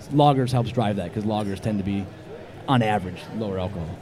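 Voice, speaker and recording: A man with a fairly low voice rattles along very fast, pitch moving normally, with clear noise in the background. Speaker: homebrewer guest. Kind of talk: casual interview chat.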